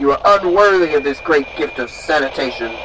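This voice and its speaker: A man with a theatrical tone at a moderate pace over noticeable background noise. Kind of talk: performed sermon parody. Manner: mock-preacherly, sardonic, theatrical.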